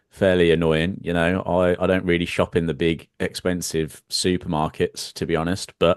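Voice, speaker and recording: A man with a British accent speaks at a very deep, low pitch in a monotone, flat delivery at a moderate pace, with hardly any pauses. The sound is dry and close with no echo, over a quiet background. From United Kingdom. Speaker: trading live stream co-host. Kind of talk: live stream market discussion.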